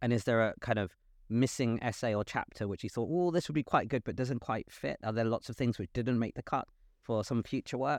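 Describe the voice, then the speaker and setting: At a fairly quick pace and with ordinary pitch variation, this voice in a London accent has a dry, close sound with no echo and a quiet background. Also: man, medium pitch for a man. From London, England. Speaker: podcast host. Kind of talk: interview conversation. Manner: halting, many fillers.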